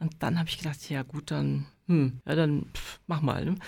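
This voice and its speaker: Her voice very deep and low with vocal fry, a woman speaks at a moderate pace on a very clean recording with a silent background. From Germany, near Dortmund (North Rhine-Westphalia). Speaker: pianist, painter and psychologist. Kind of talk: casual chat.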